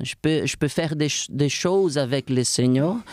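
A man speaks at a moderate pace in a dry, close sound with no echo. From Brazil, warm coastal region. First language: Portuguese (speaking French). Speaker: fitness coach. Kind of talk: interview.

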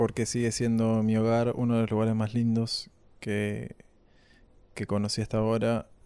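Over a very clean recording with a silent background, a man with medium pitch and a dark, mellow tone speaks at a moderate pace in monotone, flat intonation, with long, frequent pauses. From Uruguay, Maldonado coast (Portezuelo). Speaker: musician. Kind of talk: casual interview.

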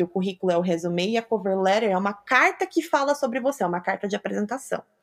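A woman moves along at a fairly quick pace, her pitch rising and falling very widely. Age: 20s. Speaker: public relations professional. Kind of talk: interview.

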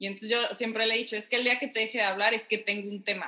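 Speaking at a very fast pace, a woman keeps a monotone, flat intonation. Her pitch is fairly high. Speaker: podcast guest, wife in intercultural couple. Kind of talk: casual chat.

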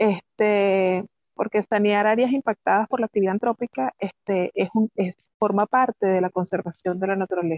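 An ordinary speaking voice at a moderate pace with fairly even intonation and hardly any pauses, in dry, close sound with no echo. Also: woman, medium pitch for a woman. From Venezuela, Pariaguán, southern Anzoátegui. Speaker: microbiology professor and researcher. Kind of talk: interview.

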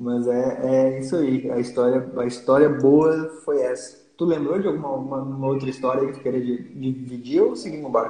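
With hardly any pauses, a man speaks at a medium pitch in fairly even intonation, amid noticeable background noise and audible room echo. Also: moderate pace. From Santa Catarina, Brazil (Lages). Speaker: podcast host. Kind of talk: casual chat. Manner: halting.

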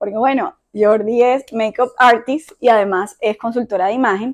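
A woman at a moderate pace and a fairly high pitch, in a dry, close sound with no echo. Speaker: podcast host. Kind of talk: casual chat. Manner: calm, measured.

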